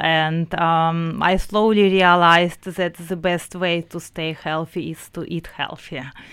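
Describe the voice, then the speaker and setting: Monotone, flat intonation in a Russian accent, on a very clean recording with a silent background. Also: woman. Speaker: business founder. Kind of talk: radio interview. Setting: radio studio.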